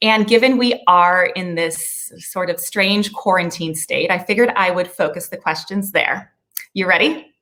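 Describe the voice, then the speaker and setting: With an American accent, a woman speaks at a moderate pace in a bright, sharp tone, her medium pitch moving with ordinary variation. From Chicago, US Midwest. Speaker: podcast host. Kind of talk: interview.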